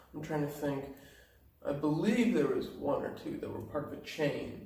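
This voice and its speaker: A man talks quietly at a moderate pace in a relaxed tone. Noticeable background noise and audible room echo surround him. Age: 20s. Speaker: backpacker and hostel volunteer. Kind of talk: casual interview. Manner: quiet, low volume.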